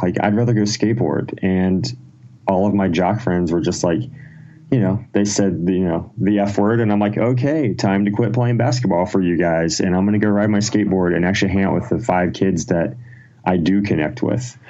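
In a room with audible echo, a man with an American accent speaks in a dark, mellow tone at a fairly low pitch, with ordinary pitch variation and very even loudness. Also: fairly quick pace. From Ohio, US Midwest. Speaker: rock musician. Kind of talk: casual chat. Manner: animated.

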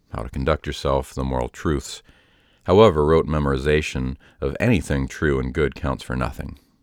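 A man's very deep, low voice with vocal fry and an American accent, fairly quick, with ordinary pitch variation, on a very clean recording with a silent background. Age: 30s. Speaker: podcaster telling personal story. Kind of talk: scripted narration. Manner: formal.

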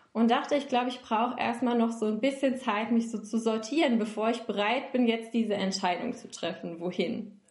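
Fairly high female pitch, fairly even intonation and a moderate pace from a woman, with noticeable background noise and audible room echo. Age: 20s. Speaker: recruiter and self-development coach. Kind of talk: interview conversation. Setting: online call.

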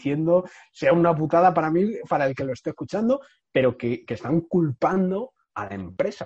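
At a moderate pace, a man speaks with lively intonation and a somewhat breathy quality. The sound is dry and close with no echo, over a quiet background. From Spain, Madrid. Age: 30s. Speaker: entrepreneur. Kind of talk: interview conversation. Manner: halting, with frequent repetitions.

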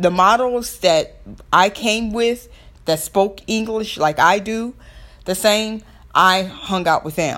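Speaking at a fairly slow pace, this voice has a bright, sharp tone and a Southern US accent. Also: woman. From US South. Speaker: podcast host. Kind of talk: solo podcast monologue.

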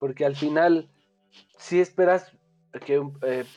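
A speaker with a central Mexican accent talks at a fairly slow pace. Music plays in the background. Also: man. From Mexico. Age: 20s. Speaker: sports image consultant. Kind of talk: casual chat. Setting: remote call. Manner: halting.

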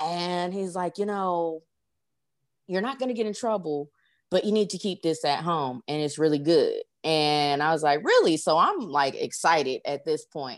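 A woman's fairly low-pitched, a normal speaking voice, with ordinary pitch variation and a moderate pace, on a very clean recording with a silent background. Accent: American. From Los Angeles, California. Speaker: author and technical analyst. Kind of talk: casual interview.

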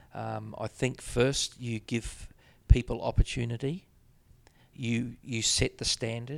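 Speaking at a fairly slow pace with a New Zealand accent, a man lets his loudness swing widely. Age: 50s. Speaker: business executive. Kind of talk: interview. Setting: office.

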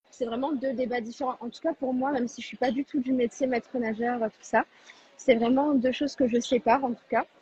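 A woman's high-pitched voice with a dark, mellow tone, monotone and flat in intonation, at a fairly quick pace, with big swings in loudness and a dry, close sound with no echo. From southern France, Tarn. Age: 20s. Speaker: nursing assistant. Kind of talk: live online debate.

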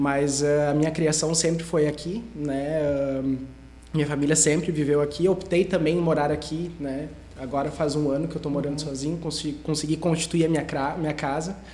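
With a Gaúcho Brazilian accent, a man speaks in a flat monotone at a fairly high pitch and a fairly quick pace, with audible room echo. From southern Brazil, Sapiranga (Rio Grande do Sul). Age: 30s. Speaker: investment advisor. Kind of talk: interview.

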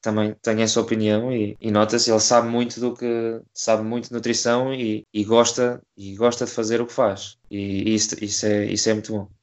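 In a monotone, flat intonation, a man speaks at a moderate pace and medium pitch. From Portugal, Coimbra. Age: 20s. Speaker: crossfit athlete. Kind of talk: interview. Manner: halting, many repetitions.

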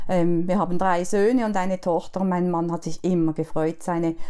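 Here a woman is talking. Her voice has a dark, mellow tone. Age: 60s. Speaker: pastor's widow and church event host. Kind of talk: personal testimony in interview.

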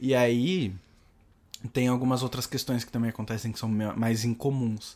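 A man with a plain, everyday voice, medium in pitch, at a fairly slow pace with fairly even intonation. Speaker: podcast co-host. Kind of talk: casual chat.

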